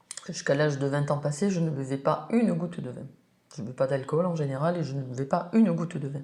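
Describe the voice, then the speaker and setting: At a very fast pace, a woman speaks in a very deep, low pitch with ordinary pitch variation. Her tone is dark and mellow, and somewhat breathy. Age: 60s. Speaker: winemaker. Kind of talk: interview.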